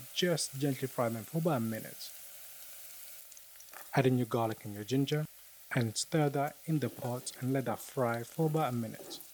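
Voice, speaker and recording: A man talks at a moderate pace in a medium pitch, with long, frequent pauses. Noticeable background noise runs under his speech. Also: ordinary pitch variation. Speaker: home cook, cooking show host. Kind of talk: cooking tutorial voice-over. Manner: casual, jokey.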